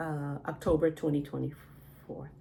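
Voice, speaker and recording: Noticeable background noise surrounds a woman who speaks at a very slow pace. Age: 60s. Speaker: patient. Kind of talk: health history interview. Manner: hesitant.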